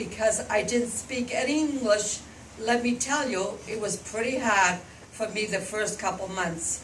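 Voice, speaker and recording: The pace is fairly slow, with ordinary pitch variation. Room echo is audible and background noise is noticeable. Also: woman. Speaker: grandmother telling her life story. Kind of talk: storytelling to schoolchildren.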